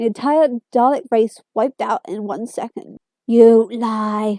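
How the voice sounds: The background is quiet. A natural reading voice carries fairly even intonation.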